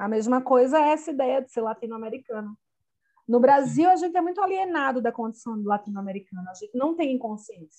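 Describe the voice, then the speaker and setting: A woman with a Brazilian accent talks at a very fast pace in a high voice with a dark, mellow tone. Her pitch swings very widely. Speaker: poet and anthology editor. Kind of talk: poetry reading; interview conversation.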